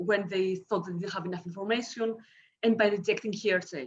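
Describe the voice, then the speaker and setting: She speaks with a Greek accent at a fairly quick pace. Her intonation stays fairly even. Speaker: academic historian. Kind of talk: conference paper reading. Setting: video call. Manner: fast.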